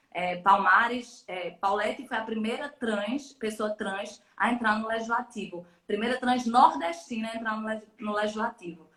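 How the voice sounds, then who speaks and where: Speaking with a Pernambuco accent, a woman with a fairly high pitch moves at a fairly slow pace with ordinary pitch variation and hardly any pauses. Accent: less drawn-out Pernambuco accent than host's. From Pernambuco backcountry, Brazil (Bodocó). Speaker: electoral lawyer and professor. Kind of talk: live-stream interview. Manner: talkative, many hesitations and repetitions.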